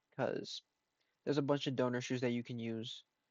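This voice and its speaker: Mumbling at a fairly quick pace. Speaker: shoe restorer. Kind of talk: tutorial.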